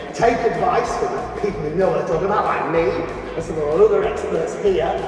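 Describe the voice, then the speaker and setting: Strong room echo and noticeable background noise accompany a voice moving at a fairly quick pace. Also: man. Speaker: TV presenter and awards host. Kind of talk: property market analysis talk. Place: hall.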